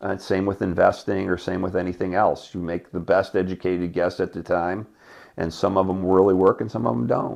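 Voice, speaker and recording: A man with an American accent talks at a fairly quick pace in a very deep, low pitch, with vocal fry, fairly even intonation and a quiet background. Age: 60s. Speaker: business executive. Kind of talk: interview.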